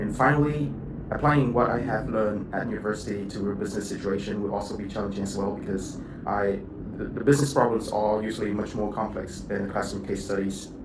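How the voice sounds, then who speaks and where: A man with a fairly low pitch talks at a very fast pace. Audible room echo and noticeable background noise surround him. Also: ordinary pitch variation. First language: not English. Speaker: university student. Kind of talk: video log. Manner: halting.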